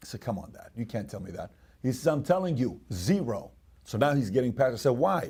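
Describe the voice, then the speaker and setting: Very wide pitch swings and a dark, mellow tone from a somewhat breathy man. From Iran. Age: 40s. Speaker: podcast host. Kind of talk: storytelling.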